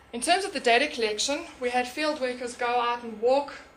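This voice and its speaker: A woman with a high voice talks at a very fast pace with fairly even intonation, with audible room echo and noticeable background noise. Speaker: conservation researcher. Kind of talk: conference talk.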